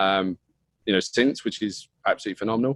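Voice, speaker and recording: In a slight British accent, a man speaks with monotone, flat intonation. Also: dry, close sound with no echo. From UK. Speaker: partner marketing manager. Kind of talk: interview. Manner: casual.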